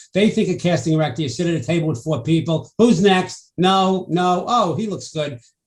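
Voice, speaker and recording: With a New York accent, a man speaks at a moderate pace with hardly any pauses, using a high pitch and ordinary pitch variation. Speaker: talk show host. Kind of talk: interview.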